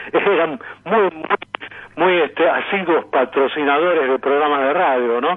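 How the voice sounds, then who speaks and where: Fairly high in pitch, a man speaks with ordinary pitch variation. His pace is fairly slow. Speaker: radio announcer and sound archive collector. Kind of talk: radio interview answer.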